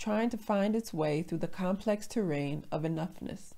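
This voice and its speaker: With an American accent, a woman talks at a moderate pace in a dark, mellow tone with lively intonation. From USA. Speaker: storyteller. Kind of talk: personal story reading.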